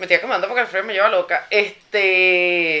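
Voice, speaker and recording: Bright and sharp in tone, a woman's voice keeps a moderate pace. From Venezuela, Caracas. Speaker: podcast co-host. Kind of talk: casual chat.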